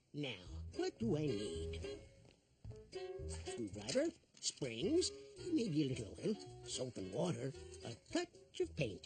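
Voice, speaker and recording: A cartoonish character voice sits at a low-to-middle pitch and moves at a fairly slow pace with long, frequent pauses. Faint music plays in the background. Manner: warm, jovial, chuckling.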